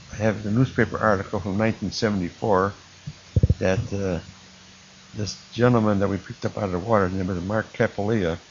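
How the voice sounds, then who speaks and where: With an American accent, a man speaks at a moderate pace and a fairly low pitch, his intonation monotone and flat, with long, frequent pauses. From Illinois, Chicago area. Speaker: war veteran. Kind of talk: oral history testimony. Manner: halting.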